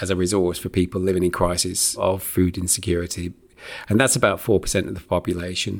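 A man with a Lancashire accent, very deep and low in pitch, at a fairly quick pace. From northern England, Preston. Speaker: charity chief executive. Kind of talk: interview conversation.

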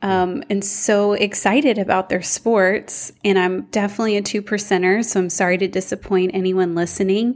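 In a normal speaking voice, a woman with an American accent and medium pitch talks at a moderate pace with fairly even intonation, very even loudness and hardly any pauses. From Houston, Texas. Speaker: Bible teacher and author. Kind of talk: interview.

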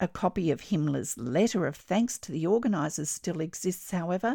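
With an Australian accent, a woman speaks in a dark, mellow tone and very wide pitch swings. The sound is dry and close with no echo. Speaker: textile artist and podcast host. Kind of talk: history documentary narration, scripted and read in a storytelling tone. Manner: measured, clear and expressive, with a dramatic, storytelling edge.

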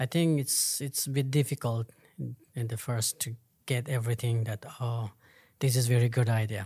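Somewhat breathy, a man speaks at a medium pitch and a moderate pace, his tone dark and mellow and his intonation fairly even. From Afghanistan, Hazara. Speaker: Afghan panelist. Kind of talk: panel discussion. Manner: halting.

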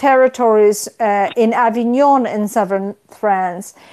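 Her voice has a dark, mellow tone, and this woman speaks with a Polish accent. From Poland. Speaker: history professor. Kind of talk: interview.

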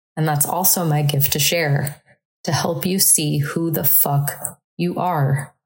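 A woman speaks very slowly in a very deep, low voice, her intonation flat and monotone and her loudness very even. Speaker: podcast host, life coach. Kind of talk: solo monologue podcast. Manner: casual, riffing.

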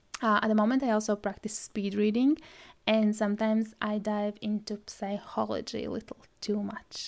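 The recording is very clean, with a silent background. A woman with a Latvian accent speaks at a moderate pace in a monotone, flat intonation. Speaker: podcast host, brand stylist. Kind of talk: solo podcast trailer, scripted-style intro.

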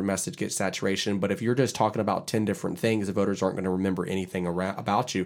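On a very clean recording with a silent background, a man with an American accent uses a normal speaking voice at a fairly low pitch and fairly even intonation. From Charleston, South Carolina. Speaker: podcast host, political consultant. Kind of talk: casual chat.

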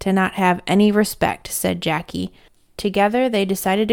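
This is plain reading aloud, and the intonation stays fairly even.

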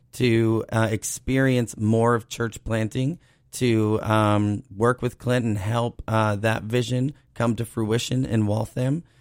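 This man has an unremarkable speaking voice with an American accent. He talks at a fairly slow pace with medium pitch and fairly even intonation. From Cape Cod, Massachusetts. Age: 30s. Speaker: church planter, pastor. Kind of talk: interview testimony.

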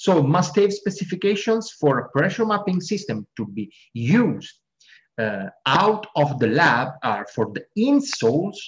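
A man with an Italian accent, high-pitched with very wide pitch swings, at a fairly slow pace. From Italy. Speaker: sports scientist. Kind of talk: interview.

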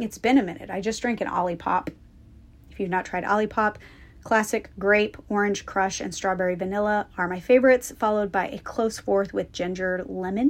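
Fairly brisk delivery and ordinary pitch variation in an ordinary speaking voice. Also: woman, medium pitch for a woman. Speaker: podcast host and business coach. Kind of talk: guided meditation. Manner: intimate and inviting, speaking directly to the listener.

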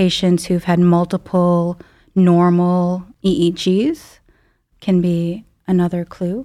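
A woman speaks in a fairly low pitch with a dark, mellow tone. The recording is very clean, with a silent background. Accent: Chicago. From US Midwest, Chicago suburbs. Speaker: neurologist. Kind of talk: medical podcast interview.

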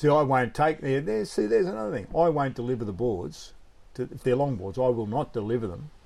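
The speaker has an Australian accent and talks at a very fast pace. The intonation is lively. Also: man, medium pitch for a man. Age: 70s. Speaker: surfboard shaper. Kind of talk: casual chat.

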